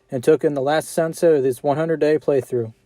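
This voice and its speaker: Against background music, a man talks at a very fast pace and fairly high pitch with fairly even intonation, the sound dry and close with no echo. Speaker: gaming YouTuber. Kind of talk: scripted narration. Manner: monotone.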